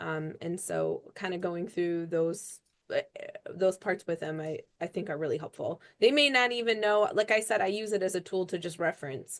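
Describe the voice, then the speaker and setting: With ordinary pitch variation, a woman with a plain, everyday voice speaks at a medium pitch and a moderate pace. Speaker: extension agricultural advisor. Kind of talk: webinar Q&A answer.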